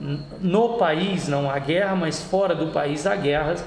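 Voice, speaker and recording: Noticeable background noise and audible room echo surround the recording. A man speaks at a very slow pace with a fairly high pitch and fairly even intonation. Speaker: law tutor. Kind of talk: lecture. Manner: hesitant, many fillers.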